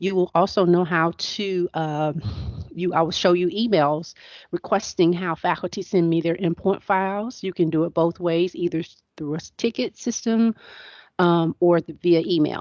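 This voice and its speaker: An unremarkable speaking voice from a woman, fairly low in pitch, at a moderate pace with fairly even intonation. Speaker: instructional technology trainer. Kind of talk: training webinar.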